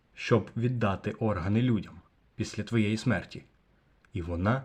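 A somewhat breathy man against a quiet background. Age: young. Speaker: video blogger. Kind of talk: vlog monologue.

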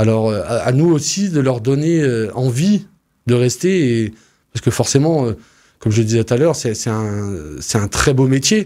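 A man's dark, mellow voice with lively intonation at a moderate pace, over a quiet background. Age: 30s. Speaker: farmer and farm union official. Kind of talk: radio interview. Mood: calm, earnest. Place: studio. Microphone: studio mic.

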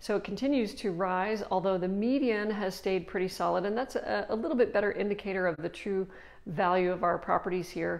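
A woman's voice with ordinary pitch variation. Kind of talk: casual market update talk. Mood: cheerful, laughing a little. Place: office. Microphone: lapel.

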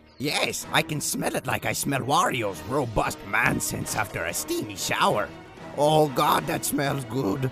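Clear music plays in the background as a man speaks. His pitch is medium and his pace fairly slow. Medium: comedy sketch. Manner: scheming, boastful.

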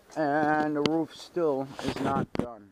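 A man with an American accent and a fairly high pitch talks over loud background noise, the sound dry with no echo. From Stamford, Connecticut. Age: 50s. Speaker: car restoration hobbyist vlogger. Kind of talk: casual vlog. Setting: home garage. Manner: animated. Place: garage. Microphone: phone near.

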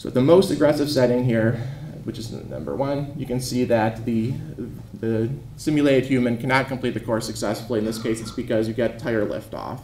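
Here a man talks at a fairly quick pace with ordinary pitch variation, with audible room echo and light background noise. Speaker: researcher; conference presenter. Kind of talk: lecture. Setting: stage with audience. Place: hall. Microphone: handheld.

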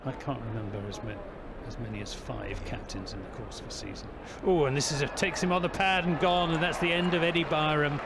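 Speaking very fast in a fairly high voice, a man uses lively intonation and big swings in loudness. Noticeable background noise runs under him. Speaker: cricket commentator. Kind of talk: live cricket commentary. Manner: animated, rhythmic ball-by-ball delivery, rising on big shots.

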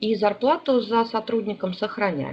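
A woman's fairly high voice carries ordinary pitch variation at a moderate pace, with noticeable background noise behind it. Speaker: HR consultant and seminar lecturer. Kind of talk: online seminar lecture. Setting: online webinar. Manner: hesitant, many filler sounds.

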